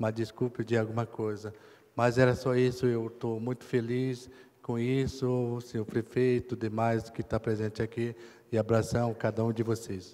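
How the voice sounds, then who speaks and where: At a fairly slow pace, a man speaks in a monotone, flat intonation with a dark, mellow tone. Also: medium pitch for a man. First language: Kayapó (speaking French). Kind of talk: acceptance speech. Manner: halting.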